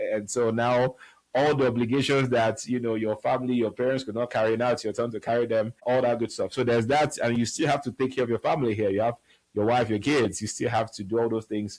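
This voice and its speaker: A man speaks at a very fast pace in a medium pitch, with fairly even intonation. The recording is very clean, with a silent background. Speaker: show founder and host. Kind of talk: motivational talk show monologue. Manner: conversational, some hesitations and restarts.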